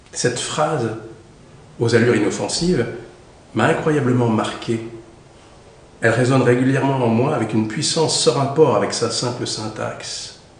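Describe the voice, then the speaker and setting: A man talks at a moderate pace and medium pitch with ordinary pitch variation. He leaves long, frequent pauses over noticeable background noise. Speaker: actor. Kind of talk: audiobook reading.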